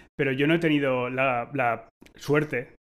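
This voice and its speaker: A man's medium-pitched voice in a monotone, flat intonation. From Spain. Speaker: tech podcast host, designer. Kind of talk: casual panel discussion.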